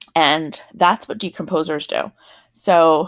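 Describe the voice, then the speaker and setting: A woman is talking in an American accent. Nothing can be heard behind her in this very clean recording. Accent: South Jersey, occasional. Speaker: teacher. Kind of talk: lecture. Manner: casual, conversational.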